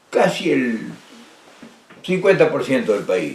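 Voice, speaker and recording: A man speaks with a Rioplatense accent. His pace is fairly slow. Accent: Argentine Spanish (rioplatense). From Argentina. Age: 80s+. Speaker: political speaker and author. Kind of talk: personal monologue talk. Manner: halting with repetitions.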